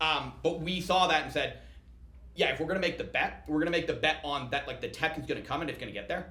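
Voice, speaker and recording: Talking at a very fast pace, a man is heard with noticeable background noise and audible room echo. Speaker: startup founder and CEO. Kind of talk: podcast interview.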